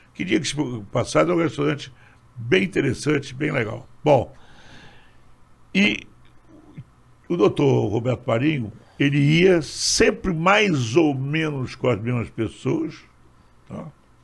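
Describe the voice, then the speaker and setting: A man's fairly high voice with vocal fry, fairly slow and lively in intonation, broken by long, frequent pauses. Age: 80s+. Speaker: nightlife entrepreneur. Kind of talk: casual chat.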